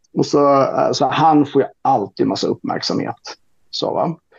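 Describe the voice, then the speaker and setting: Dry, close sound without echo, and a man talking at a fairly slow pace. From Sweden, Roslagen (Stockholm region). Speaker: social democratic politician and author. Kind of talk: casual podcast discussion.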